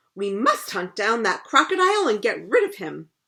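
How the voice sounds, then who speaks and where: Using a put-on character voice, a woman growls at a fairly high pitch and a moderate pace. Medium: read story. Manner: crisp, dry.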